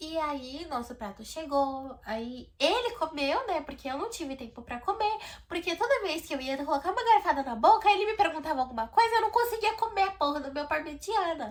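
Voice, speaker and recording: With a non-native accent, a woman speaks at an extremely high pitch and a moderate pace, her pitch swinging very widely and her loudness varying a lot, in an animated tone with hardly any pauses. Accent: noticeable foreign accent in English. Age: 20s. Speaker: vlogger. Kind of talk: storytelling vlog. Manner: talkative.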